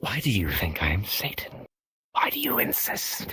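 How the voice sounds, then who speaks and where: Whispering at a moderate pace, a man puts on a character voice. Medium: actual play. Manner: grandiose, archaic phrasing.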